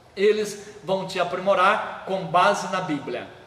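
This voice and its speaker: A man's high-pitched voice, fairly slow and fairly even in intonation, with audible room echo and noticeable background noise. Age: 60s. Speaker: pastor and seminary head. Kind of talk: live stream talk, promotional sermon. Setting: Facebook live stream.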